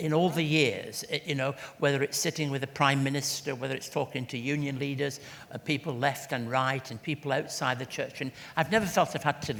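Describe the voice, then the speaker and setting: With an English accent, a man speaks at a fairly quick pace in a fairly high pitch, his intonation fairly even. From England. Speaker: church leader and charity CEO. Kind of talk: interview at book launch. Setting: event with audience.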